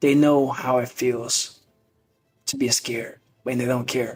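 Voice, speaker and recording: With music in the background, a man in a Southern US accent speaks slowly-ish at a fairly slow pace, his medium-pitched voice holding a monotone, flat intonation. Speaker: podcast host, motivational speaker. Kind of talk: motivational monologue.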